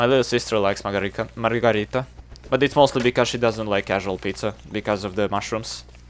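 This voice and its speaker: A man with a Serbian accent, fairly low in pitch, talking at a very fast pace with fairly even intonation. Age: 20s. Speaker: video game streamer. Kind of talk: casual live-stream chat.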